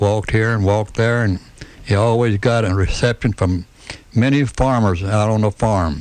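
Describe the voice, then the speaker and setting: A man with an American accent talks at a fairly low pitch and a moderate pace, his loudness very even. Noticeable background noise sits behind him. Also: fairly even intonation. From Tennessee, Chattanooga. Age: 70s. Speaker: retired restaurant owner and civic figure. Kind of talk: radio interview. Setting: studio.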